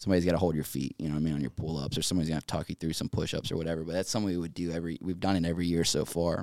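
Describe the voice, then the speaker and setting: In an American accent, a man with a very deep, low pitch talks at a very fast pace with hardly any pauses and fairly even intonation. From Eastern North Carolina. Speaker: Navy veteran and business owner. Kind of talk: casual interview. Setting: studio.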